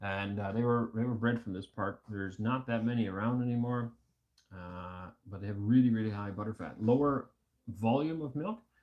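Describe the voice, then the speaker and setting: A man's medium-pitched voice in a Canadian accent, with big swings in loudness and ordinary pitch variation. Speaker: homesteading livestream host. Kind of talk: casual chat. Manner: fast.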